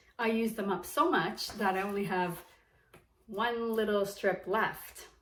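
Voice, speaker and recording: The recording carries audible room echo. A woman speaks slowly-ish, at a fairly slow pace, in a medium pitch with fairly even intonation. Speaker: beauty vlogger. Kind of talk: casual vlog tutorial. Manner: chatty.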